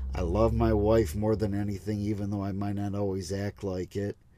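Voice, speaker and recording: A man speaks in a relaxed tone at a fairly low pitch. His voice has a dark, mellow tone. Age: 30s. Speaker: truck driver and podcaster. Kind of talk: casual monologue. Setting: in a truck. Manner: relaxed, casual.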